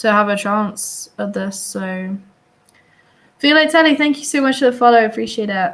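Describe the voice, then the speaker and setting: A woman with an Oxford accent speaks in a fairly high voice with lively intonation. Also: moderate pace. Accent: posh English (Oxford). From England, Oxford. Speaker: chess commentator. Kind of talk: live commentary. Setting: live stream.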